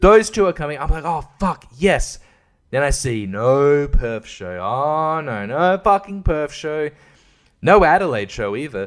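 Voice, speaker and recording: In an Australian accent, the speaker moves at a fairly slow pace with very wide pitch swings and big swings in loudness. The recording is very clean, with a silent background. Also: man, fairly high pitch for a man. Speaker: podcaster. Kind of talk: casual monologue. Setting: at home at night. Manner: animated; kept quiet to not wake baby.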